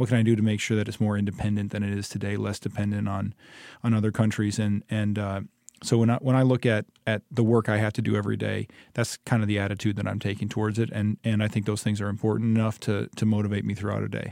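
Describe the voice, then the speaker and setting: A man with a Midwestern American accent talks at a very fast pace in a monotone, flat intonation with a dark, mellow tone. The very clean recording has a silent background and a dry, close sound with no echo. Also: fairly low pitch for a man. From Michigan (Ypsilanti). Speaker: state representative. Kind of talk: interview. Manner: halting.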